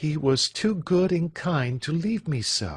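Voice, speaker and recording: Against a quiet background, a man with an American accent speaks at a fairly high pitch, somewhat breathy, with very wide pitch swings. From United States. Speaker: English teacher. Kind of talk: audiobook reading of classic fiction. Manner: clear.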